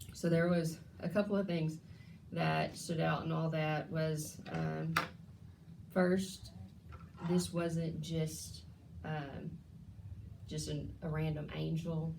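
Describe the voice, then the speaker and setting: A woman speaks at a very slow pace, leaving long, frequent pauses. Room echo can be heard. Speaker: bible study leader. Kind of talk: bible study teaching.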